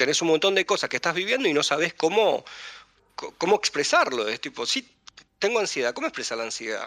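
A man talks at a fairly quick pace with a high pitch and very wide pitch swings. His tone is bright and sharp, and the sound is dry and close with no echo. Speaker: podcast co-host. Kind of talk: casual chat. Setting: live stream.

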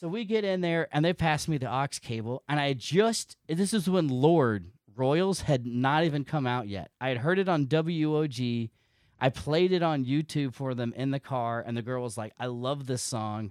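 In a normal speaking voice, a man with fairly high pitch and lively intonation talks at a moderate pace, recorded very cleanly with a silent background and a dry, close sound with no echo. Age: 40s. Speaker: podcaster and military member. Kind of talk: casual chat.

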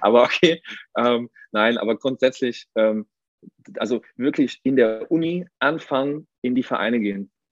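A plain, everyday voice from a man, at a fairly slow pace and medium pitch, with ordinary pitch variation. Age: 30s. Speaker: athletic trainer. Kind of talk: casual chat.

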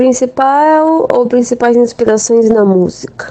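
A woman's voice with ordinary pitch variation. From Jundiaí, São Paulo state, Brazil. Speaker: rock bassist. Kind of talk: recorded interview answers.

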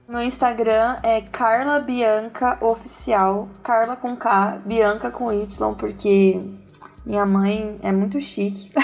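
Over music in the background, a woman talks at a very slow pace with a fairly high pitch and fairly even intonation. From Brazil, Campinas. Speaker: church worship singer. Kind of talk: casual chat.

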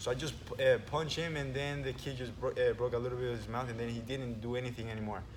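Against noticeable background noise, a man speaks very fast at a medium pitch in a monotone, flat intonation. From Venezuela. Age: 20s. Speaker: jiu-jitsu instructor. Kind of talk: casual chat.

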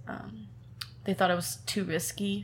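With a Californian accent, a woman speaks at a moderate pace and a fairly low pitch with vocal fry, and audible room echo surrounds her. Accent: Californian American. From Southern California, Temecula. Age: 20s. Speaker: singer-songwriter. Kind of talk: interview.

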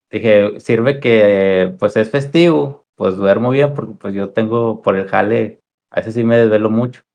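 A man with an ordinary speaking voice talks at a fairly slow pace, with medium pitch and ordinary pitch variation. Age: 20s. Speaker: streamer. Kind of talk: casual chat.

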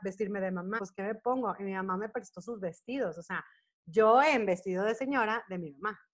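A woman with a Mexican accent speaks at a fairly quick pace with ordinary pitch variation. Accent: Mexican Spanish accent when speaking English. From Monterrey, northern Mexico. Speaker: choreographer, dancer and actress. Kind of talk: casual interview. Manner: talkative, fast-flowing.

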